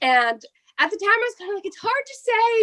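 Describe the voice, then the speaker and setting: A woman with an American accent speaks in a raised, projected voice at a fairly quick pace. Her tone is bright and sharp, and her pitch swings very widely. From New Jersey. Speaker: pro wrestler. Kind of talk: interview. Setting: home office, remote interview. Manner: casual, filler-heavy.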